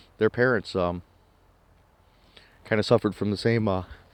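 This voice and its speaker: A man mumbles at a fairly quick pace and a fairly low pitch. The sound is dry and close, with no echo. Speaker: vlogger. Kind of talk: casual monologue. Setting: outdoors in the woods. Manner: soft-spoken; mumbling.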